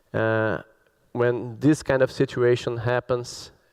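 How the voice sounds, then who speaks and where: A man with a Brazilian Portuguese accent, medium in pitch, fairly even in intonation, at a very slow pace. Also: dry, close sound with no echo. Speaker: cybersecurity expert. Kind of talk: conference talk.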